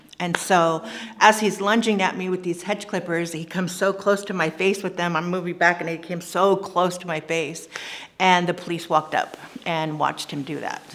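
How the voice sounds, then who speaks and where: A woman with an American accent speaks in a fairly low voice at a moderate pace. Her intonation is fairly even, and there is noticeable background noise. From California, US. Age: 40s. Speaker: trafficking survivor. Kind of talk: testimony. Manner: casual with fillers.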